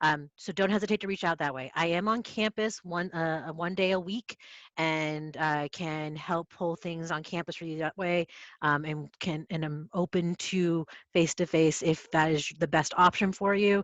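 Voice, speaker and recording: A woman with a fairly low pitch speaks at a moderate pace and with fairly even intonation. The sound is dry and close with no echo, against a quiet background. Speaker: librarian. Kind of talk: lecture. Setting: video call. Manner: soft-spoken.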